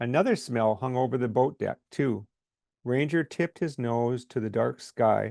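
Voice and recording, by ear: A natural read-aloud voice over a quiet background, its pitch varying in an ordinary way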